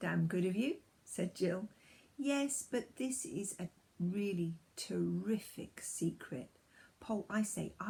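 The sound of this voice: The intonation is lively in this unforced reading voice.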